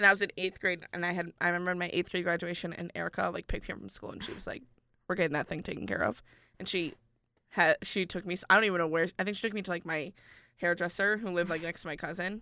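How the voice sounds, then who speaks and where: Speaking at a very fast pace, a woman uses a bright, sharp tone with an upstate New York accent. Her pitch is fairly low and her intonation fairly even. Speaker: college student podcast co-host. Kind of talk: casual chat. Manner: louder voice.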